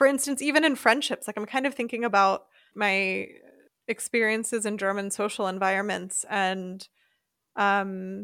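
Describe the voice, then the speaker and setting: A woman speaks in a plain, everyday voice at a moderate pace, her pitch medium and her intonation fairly even. The recording is very clean, with a silent background. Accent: American. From US, Philadelphia suburbs, Pennsylvania. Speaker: expat podcast host. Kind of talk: casual chat.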